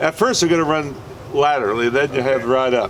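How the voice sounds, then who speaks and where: A fairly high-pitched man at a moderate pace, over noticeable background noise. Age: 70s. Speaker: fishing charter captain. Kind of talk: safety briefing and instruction. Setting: outdoors on a boat. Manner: casual.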